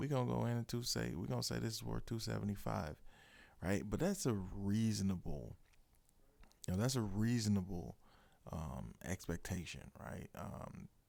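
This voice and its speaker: A man with a very deep, low pitch and a dark, mellow tone, very wide pitch swings and a moderate pace. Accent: American. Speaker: podcast host, real estate investing consultant. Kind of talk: podcast explainer on investing. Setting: studio room. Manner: casual, with many fillers.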